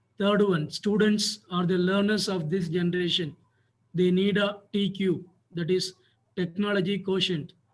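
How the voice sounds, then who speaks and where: A man with a high pitch talks in a monotone, flat delivery at a moderate pace, his loudness very even. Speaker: school principal. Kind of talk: webinar panel talk. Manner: formal; soft-spoken. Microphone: too quiet.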